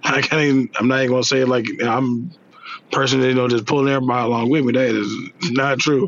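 Against noticeable background noise, a man talks very fast at a medium pitch, with fairly even intonation and very even loudness. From Mississippi, Jackson. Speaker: railroad worker and father. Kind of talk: casual chat.

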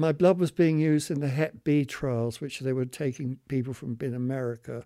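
Speaking at a moderate pace, a man with a British accent has a dark, mellow tone and medium pitch. The recording is very clean with a silent background. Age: 70s. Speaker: long-term HIV survivor. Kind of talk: testimony.

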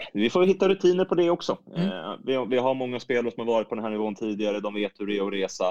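This man talks at a very fast pace at a medium pitch, his voice making very wide pitch swings in a dry, close sound with no echo. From Stockholm region, Sweden. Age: 30s. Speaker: women's football coach. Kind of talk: interview.

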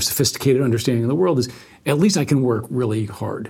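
Over a very clean recording with a silent background, a man with a New York State accent talks at a very fast pace, sounding somewhat breathy. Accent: American, New York State. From upstate New York, Albany. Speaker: law firm managing partner. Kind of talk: interview conversation.

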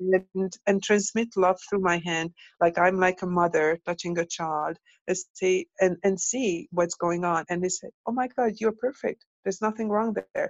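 In a Hungarian accent, a woman speaks at a moderate pace with a medium pitch and ordinary pitch variation. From Hungary. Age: 50s. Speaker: tantra and intimacy coach. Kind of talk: casual interview. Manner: halting, repeats words.

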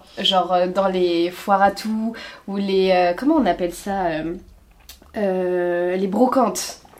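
The voice belongs to a woman. Behind her, background noise is noticeable. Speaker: podcast host. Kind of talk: casual interview. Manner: animated, laughs often.

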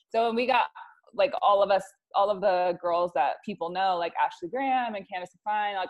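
A woman with a General American accent speaks at a moderate pace in a plain, everyday voice, her pitch medium and her intonation lively. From US Wyoming. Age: 30s. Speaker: model agency owner and author. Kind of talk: casual chat.

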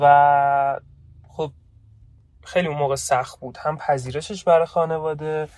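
A man with a fairly high-pitched voice. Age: 20s. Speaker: podcast co-host, programmer. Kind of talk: casual chat. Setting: in a car. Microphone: phone recording.

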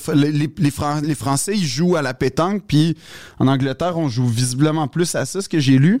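A man speaks at a fairly slow pace in an ordinary speaking voice. His pitch is fairly high, with ordinary variation. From Quebec, Montreal West Island. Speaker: comedian. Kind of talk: casual chat.

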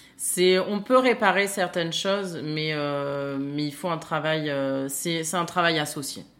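The speech moves at a very slow pace with hardly any pauses and ordinary pitch variation. Audible room echo surrounds it. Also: woman, fairly low pitch for a woman. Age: 30s. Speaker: nurse turned trainer. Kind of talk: casual chat. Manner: hesitant, many fillers.

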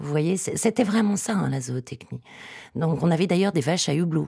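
A woman talks with normal pitch movement. The recording is very clean, and the background is silent. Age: 40s. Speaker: agronomist and author. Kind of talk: interview. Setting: studio.

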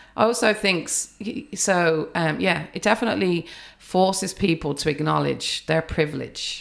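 On a very clean recording with a silent background, a woman speaks at a moderate pace in a fairly low pitch, with vocal fry and ordinary pitch variation. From England, of an Irish family. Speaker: psychology academic and memoirist. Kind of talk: casual interview. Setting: at her home.

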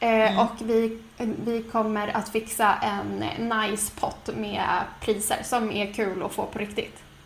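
Over noticeable background noise and audible room echo, a woman with a fairly high pitch speaks very slowly in a monotone, flat intonation. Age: 20s. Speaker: podcast co-host. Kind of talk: casual chat.

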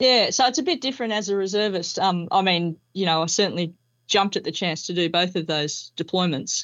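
Speaking at a fairly quick pace, a woman with an Australian accent has a medium pitch and ordinary pitch variation. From Melbourne, Australia. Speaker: former police officer and army reservist. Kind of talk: interview.

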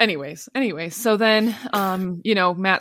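An unremarkable speaking voice is heard. Pitch moves up and down in an ordinary way. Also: woman, very clean recording, silent background. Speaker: podcast co-host. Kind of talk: casual chat.

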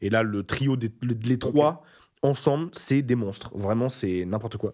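With an animated tone, a man talks at medium pitch and a moderate pace. His pitch varies in an ordinary way on a very clean recording with a silent background. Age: 20s. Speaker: YouTuber. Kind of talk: casual chat.

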